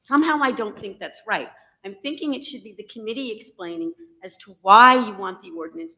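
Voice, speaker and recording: A woman with lively intonation. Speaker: resident giving public comment. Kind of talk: public comment at meeting. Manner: loud.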